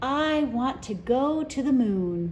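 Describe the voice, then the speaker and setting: A woman puts on a high-pitched character voice. Clear background noise sits behind her. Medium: read story. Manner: eager, persuasive.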